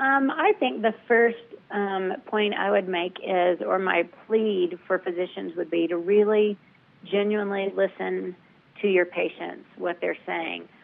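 An American accent at a fairly slow pace, with ordinary pitch variation and noticeable background noise. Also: woman, medium pitch for a woman. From US South. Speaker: patient advocate. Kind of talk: interview.

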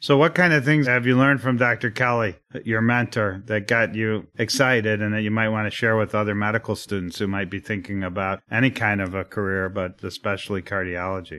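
Over a quiet background, a man with fairly low pitch and a bright, sharp tone talks at a fairly quick pace with hardly any pauses. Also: ordinary pitch variation. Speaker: radio host, cardiologist. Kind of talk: interview, medical podcast host.

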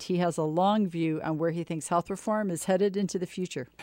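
In a dry, close recording with no echo, a woman talks at a fairly quick pace and a medium pitch in a dark, mellow tone. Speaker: radio show co-host. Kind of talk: radio interview show.

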